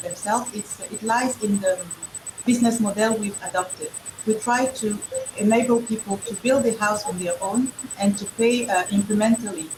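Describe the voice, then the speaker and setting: In a French accent, a woman talks at a fairly high pitch and moderate pace with fairly even intonation, over noticeable background noise. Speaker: entrepreneur. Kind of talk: panel discussion. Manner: halting.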